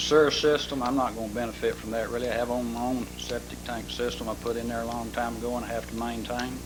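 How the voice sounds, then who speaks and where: A man in an Arkansas accent at a fairly quick pace, with audible room echo and noticeable background noise. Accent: Southern US (Arkansas). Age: 70s. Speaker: property owner speaking at council meeting. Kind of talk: public comment at city council. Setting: city council meeting.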